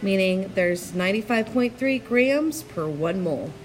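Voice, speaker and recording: Noticeable background noise accompanies a woman speaking at medium pitch with lively intonation. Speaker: chemistry teacher. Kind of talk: tutorial. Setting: screencast.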